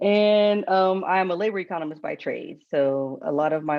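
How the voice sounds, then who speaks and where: A woman speaks with a Southern US accent. Her pitch varies in an ordinary way. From US South, the Carolinas. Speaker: economics professor. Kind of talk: panel discussion.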